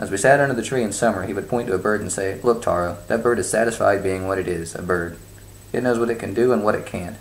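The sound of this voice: Ordinary pitch variation in an unforced reading voice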